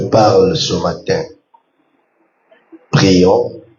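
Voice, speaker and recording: Speaking at a very slow pace, a man's voice carries audible room echo. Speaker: pastor. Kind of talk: sermon. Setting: church.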